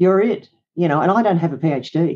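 Woman with an Australian accent, dark, mellow tone, and ordinary pitch variation. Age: 60s. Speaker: psychologist and business coach. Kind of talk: interview conversation.

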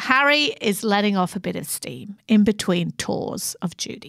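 Very cleanly recorded with a silent background, a woman with an unremarkable speaking voice talks at medium pitch and a moderate pace. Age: 50s. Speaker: podcast co-host, head of content. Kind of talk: casual storytelling chat.

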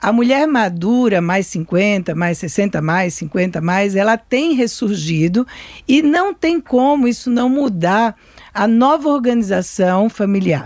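A woman's very slow delivery, with very wide pitch swings and very even loudness. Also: medium pitch for a woman. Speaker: psychoanalyst. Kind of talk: interview.

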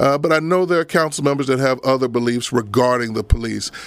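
A man talks in an ordinary speaking voice at a fairly high pitch. His pitch varies in an ordinary way. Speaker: pastor and radio talk show host. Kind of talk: radio talk show interview. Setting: radio studio, pre-recorded.

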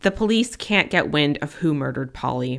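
A woman's voice swings very widely in pitch. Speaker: podcast host. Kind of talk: true-crime narration. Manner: grave, measured, somber storytelling delivery with a clear warning tone.

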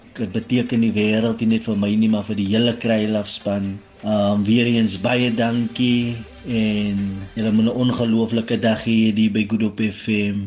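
The speech has a monotone, flat intonation. Noticeable background noise can be heard. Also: man, medium pitch for a man, very even loudness. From Kraaifontein, Cape Town, South Africa. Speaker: police constable. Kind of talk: radio interview.

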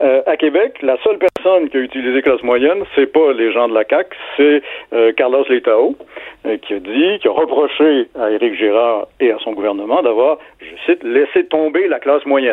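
With lively intonation and a fairly high pitch, a man talks at a moderate pace in a normal speaking voice. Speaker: literature professor. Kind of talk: radio interview.

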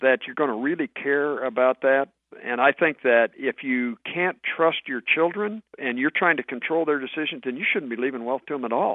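This man has a plain, everyday voice, medium in pitch. He talks at a moderate speed, and his pitch varies in an ordinary way. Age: 60s. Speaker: author on personal finance. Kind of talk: radio interview.

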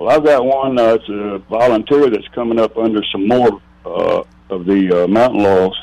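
Noticeable background noise is present. A man of medium pitch speaks at a moderate pace with ordinary pitch variation. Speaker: caller. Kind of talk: casual chat. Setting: phone call.

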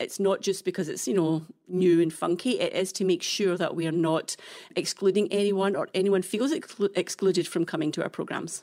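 A woman's medium-pitched voice in a Scottish accent, dark and mellow in tone, fairly quick with fairly even intonation, on a very clean recording with a silent background. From Scotland. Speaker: nonprofit executive director. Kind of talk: casual interview.

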